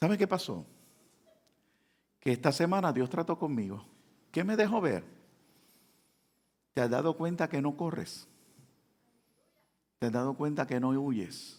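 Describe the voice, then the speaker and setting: A man with a fairly high pitch and very wide pitch swings, at a fairly slow pace full of long, frequent pauses, in a very clean recording with a silent background. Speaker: pastor. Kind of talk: sermon.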